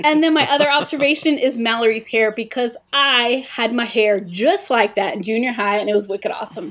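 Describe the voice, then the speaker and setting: A woman talks at a fairly quick pace with hardly any pauses, using a plain, everyday voice with a fairly high pitch and ordinary pitch variation. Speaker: host's wife, guest. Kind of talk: casual chat.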